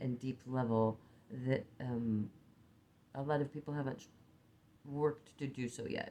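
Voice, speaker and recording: Dark, mellow tone in an Oregon accent, with fairly even intonation and a moderate pace. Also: woman. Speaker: spiritual teacher and card reader. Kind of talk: casual chat. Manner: halting.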